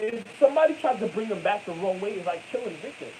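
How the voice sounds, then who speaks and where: A man with an American accent speaks at a high pitch with lively intonation over noticeable background noise. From New York. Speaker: vlogger. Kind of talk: monologue. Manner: halting.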